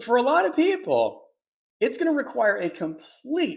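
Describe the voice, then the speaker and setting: Very wide pitch swings mark this man's animated, fairly slow delivery. The recording is very clean, with a silent background. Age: 50s. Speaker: midlife lifestyle podcaster. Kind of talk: casual monologue to camera.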